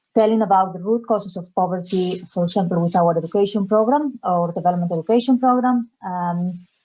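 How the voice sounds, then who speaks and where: A woman with a Spanish accent speaks fairly quickly in a dark, mellow tone at medium pitch, with ordinary pitch variation, hardly any pauses and a quiet background. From Spain, Galicia. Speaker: development education officer. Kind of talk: webinar presentation. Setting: video call.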